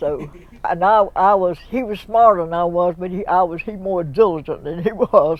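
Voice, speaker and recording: In a Southern US accent, the speaker keeps a moderate pace. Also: woman. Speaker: local elder. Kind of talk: oral history interview.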